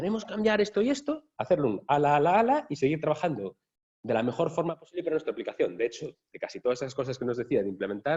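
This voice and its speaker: Speaking very fast in a Galician accent, a man with a fairly high pitch, dark, mellow tone and vocal fry makes very wide pitch swings. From Galicia, Spain. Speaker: software architect, workshop speaker. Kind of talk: workshop talk. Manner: casual, conversational.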